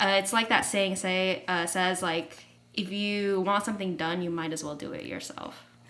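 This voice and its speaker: With an American accent, the speaker talks at a moderate pace with ordinary pitch variation over noticeable background noise. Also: woman, medium pitch for a woman. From United States. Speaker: college basketball player. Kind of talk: casual interview.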